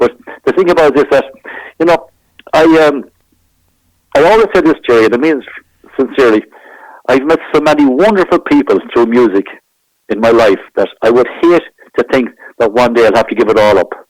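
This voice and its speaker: A man with an Irish accent talks fairly quickly in a fairly high voice with lively intonation. He leaves long, frequent pauses. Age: 60s. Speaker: trumpet player. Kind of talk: interview. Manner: halting.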